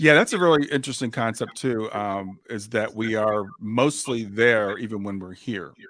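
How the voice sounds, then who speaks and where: A man with an ordinary speaking voice talks at a moderate pace and medium pitch, with ordinary pitch variation, big swings in loudness, and hardly any pauses. The recording is very clean, with a silent background. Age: 60s. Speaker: grief coach and podcast host. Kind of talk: interview conversation.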